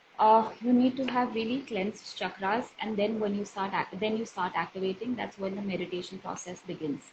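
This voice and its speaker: At a fairly quick pace and with hardly any pauses, a woman talks in a medium pitch with ordinary pitch variation. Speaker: healer and counselor. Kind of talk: interview on a live video session. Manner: loud.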